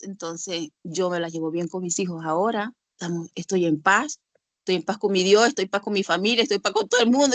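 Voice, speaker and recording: A woman speaks at a fairly quick pace with a medium pitch and ordinary pitch variation. The sound is dry and close, with no echo. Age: 60s. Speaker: church member sharing experience. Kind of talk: testimony. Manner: animated.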